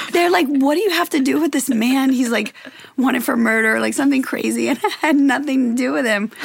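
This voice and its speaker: A woman talks fairly quickly in an American accent, with ordinary pitch variation and noticeable background noise behind her. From Louisiana, US South. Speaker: model and influencer. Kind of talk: casual chat.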